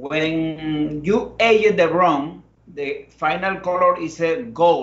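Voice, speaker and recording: A man speaks in a Spanish accent at a very slow pace. His pitch is high, with ordinary variation. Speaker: master blender. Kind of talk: live tasting presentation. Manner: halting.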